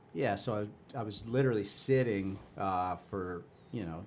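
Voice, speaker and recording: With an American accent, a man speaks at a fairly low pitch, his voice carrying audible room echo. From Chicago, US Midwest. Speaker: youth cycling race director. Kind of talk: casual interview chat.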